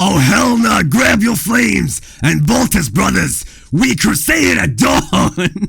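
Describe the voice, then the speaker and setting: Against light background noise, a man does a put-on character voice in a dramatic tone, fairly high in pitch, at a fairly slow pace with very even loudness. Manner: epic, grand, dramatic.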